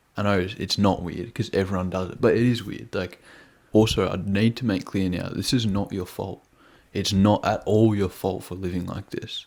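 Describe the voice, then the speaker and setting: A quiet man's voice with fairly even intonation. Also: fairly low pitch for a man, moderate pace. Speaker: self-improvement youtuber. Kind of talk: casual vlog monologue. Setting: at home with housemates asleep. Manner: quiet, keeping voice down.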